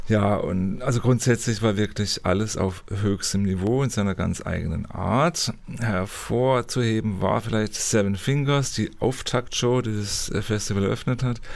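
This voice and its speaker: Against noticeable background noise, a man speaks in a fairly low pitch with ordinary pitch variation. His pace is fairly slow, with hardly any pauses. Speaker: culture reporter, podcast co-host. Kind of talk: casual interview chat. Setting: recording studio at a music college.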